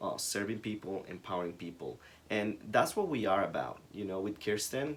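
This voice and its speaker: A man's fairly low voice with a Spanish accent, moderate pace and ordinary pitch variation. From Ecuador. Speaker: small business co-founder. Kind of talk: casual chat.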